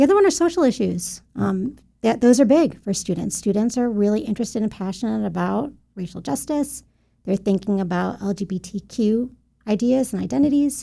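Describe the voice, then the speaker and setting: Somewhat breathy and dark, mellow in tone, a woman with an American accent talks at a fairly quick pace with fairly high pitch and lively intonation. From western upstate New York (Buffalo). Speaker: college administrator and educator. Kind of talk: interview conversation.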